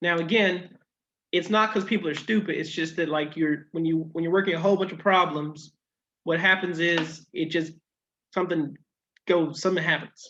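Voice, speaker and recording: Bright and sharp in tone, a man speaks at a high pitch with fairly even intonation. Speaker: math teacher. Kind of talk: lecture. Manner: halting.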